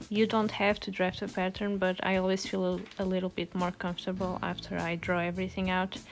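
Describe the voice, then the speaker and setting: A woman at a medium pitch with a Portuguese accent, speaking at a fairly quick pace. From Portugal. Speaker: sewing content creator. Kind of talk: tutorial.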